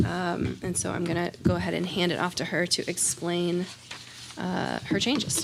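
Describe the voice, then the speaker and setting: Noticeable background noise around a woman speaking at a moderate pace. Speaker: school board committee chair. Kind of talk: committee meeting chairing.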